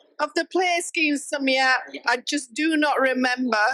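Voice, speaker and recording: A woman speaks at a fairly slow pace in a high voice with a bright, sharp tone. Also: very even loudness. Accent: Yorkshire. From Yorkshire. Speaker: wedding guest. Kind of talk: casual chat. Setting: wedding guestbook interview.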